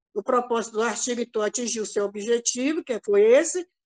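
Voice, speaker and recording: With lively intonation and a high pitch, a woman speaks at a moderate pace in a dry, close sound with no echo. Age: 70s. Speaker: retired teacher, academic presenter. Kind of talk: academic presentation. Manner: halting.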